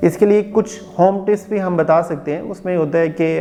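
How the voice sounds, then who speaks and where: A man's voice over noticeable background noise. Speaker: speech therapist. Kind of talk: educational explanation to camera. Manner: clear, explanatory.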